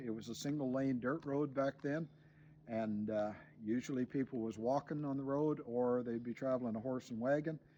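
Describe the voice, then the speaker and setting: Speaking in a Maritime Canadian accent, a man has a dark, mellow tone, a moderate pace and ordinary pitch variation. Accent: rural Maritime Canadian. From New Brunswick, Canada. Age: 60s. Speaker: homesteader and YouTuber. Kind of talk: outdoor show-and-tell explanation. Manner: casual with frequent fillers and repetitions.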